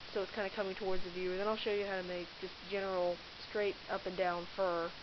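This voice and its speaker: Her voice carries audible room echo. The speaker is a woman. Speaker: digital art tutorial maker. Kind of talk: tutorial. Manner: stutter; hesitant, many fillers.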